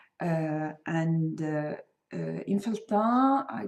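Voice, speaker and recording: With a Swedish accent, a woman speaks in a fairly low pitch and with lively intonation. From Sweden. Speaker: crochet designer and podcaster. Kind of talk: casual podcast talk. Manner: hesitant, many fillers.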